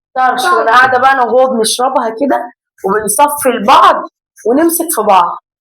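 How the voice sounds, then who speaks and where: A woman with an Egyptian accent speaks at a high pitch and a moderate pace. Her tone is animated, with lively intonation. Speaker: family vlogger. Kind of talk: casual vlog chat. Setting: at home.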